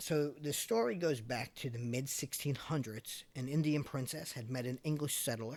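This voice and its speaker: A man with a Long Island accent, medium pitch, fairly even intonation, a moderate pace and hardly any pauses. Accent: Long Island New York. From Long Island, New York (Islip, Suffolk County). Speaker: podcast host. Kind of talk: casual podcast storytelling. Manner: conversational, frequent um and uh fillers.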